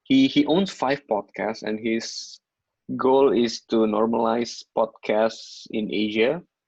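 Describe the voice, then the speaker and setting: Talking with an Indonesian accent, a man speaks at a very slow pace. His pitch is medium, with ordinary pitch variation. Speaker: content creator. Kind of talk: casual chat.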